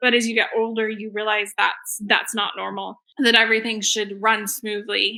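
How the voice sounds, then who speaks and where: A woman talks at a fairly quick pace in a bright, sharp tone with a fairly high pitch. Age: 30s. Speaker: wellness testimonial guest, new mother. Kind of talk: testimony.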